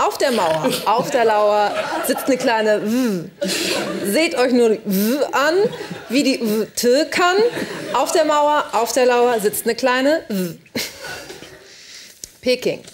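A woman's high-pitched voice at a very slow pace, over light background noise. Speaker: TV news anchor. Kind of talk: TV news read. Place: studio. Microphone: lapel.

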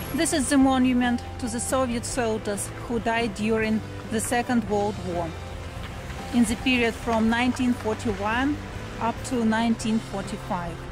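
Fairly even intonation is heard over clear music in the background, in a dry sound with no echo. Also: woman, moderate pace. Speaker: vlogger, tour guide. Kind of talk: casual vlog chat. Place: street. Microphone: phone near.

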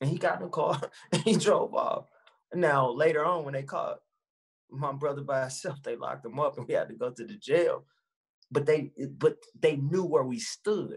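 The delivery is animated, at a moderate pace with long, frequent pauses. Loudness swings widely against a quiet background. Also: man. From US Midwest. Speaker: activist and former politician; former politician. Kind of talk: casual interview. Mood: earnest, passionate. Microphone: video call.

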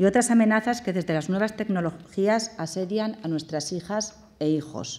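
Speaking in a medium pitch at a moderate pace, a woman shows ordinary pitch variation. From Valencia, Spain; Spain. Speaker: government delegate, politician; politician. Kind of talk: formal speech and Q&A. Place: hall. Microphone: podium.

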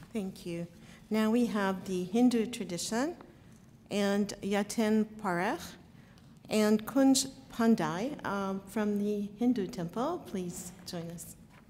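A woman speaks very slowly in a somewhat breathy voice with a dark, mellow tone and ordinary pitch variation. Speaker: master of ceremonies; ceremony host. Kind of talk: formal ceremony hosting. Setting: state capitol ceremony. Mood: warm, welcoming. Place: hall. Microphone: podium.

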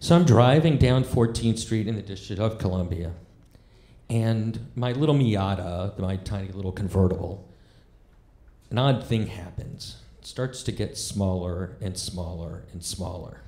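The voice is dark and mellow, somewhat breathy, with ordinary pitch variation, moving at a fairly slow pace amid audible room echo. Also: man. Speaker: stand-up comedian. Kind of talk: stand-up storytelling. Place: stage. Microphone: handheld.

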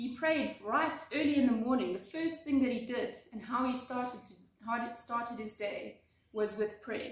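A woman's high voice with ordinary pitch variation and audible room echo. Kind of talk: devotional talk. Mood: warm, earnest. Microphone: phone near.

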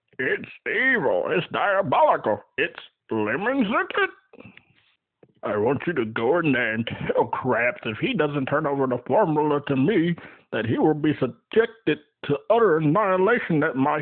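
A cartoonish character voice speaks at a moderate pace. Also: man, fairly high pitch for a man. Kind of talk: cartoon character voice impression. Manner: theatrical, villainous ranting.

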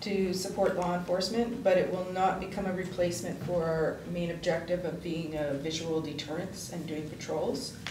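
A woman at a moderate pace with fairly even intonation, against noticeable background noise. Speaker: councillor giving committee report. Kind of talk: meeting report. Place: meeting room. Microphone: podium.

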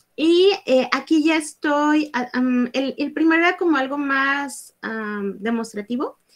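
Over a quiet background, a woman speaks in a high pitch with ordinary pitch variation. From Mexico, Guadalajara; Jalisco, Mexico. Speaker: workshop instructor. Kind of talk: online workshop. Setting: live video stream. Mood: cheerful, animated. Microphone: webcam.

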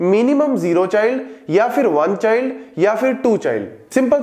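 Audible room echo is present. The voice belongs to a man. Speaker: teacher. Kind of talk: lecture. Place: classroom. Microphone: lapel.

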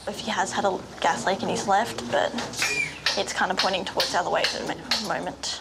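A woman speaking at a very fast pace with ordinary pitch variation, amid loud background noise. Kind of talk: documentary interview aside. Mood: nervous, apprehensive. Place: hall.

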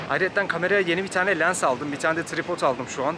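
Noticeable background noise sits under a man speaking at a very fast pace. His intonation is fairly even, and the sound is dry with no echo. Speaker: travel vlogger. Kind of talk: casual vlog chat. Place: street. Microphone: phone near.

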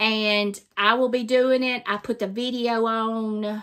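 Speaking at a very slow pace, a woman with a Southern US accent uses a fairly high pitch. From Mississippi. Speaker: craft vlogger. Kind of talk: casual chat.

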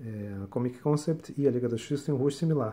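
A man speaks at a fairly quick pace. His voice is somewhat breathy, with a dark, mellow tone. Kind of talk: casual unboxing/review chat. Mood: enthusiastic, relaxed. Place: home room. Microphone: phone near.

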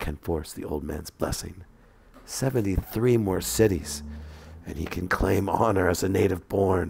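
Speaking at a moderate pace, a man uses a very deep, low pitch with ordinary pitch variation. His voice is somewhat breathy and his tone dramatic. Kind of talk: scripted narration of flash fiction. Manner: dramatic, storyteller delivery with tense pacing.

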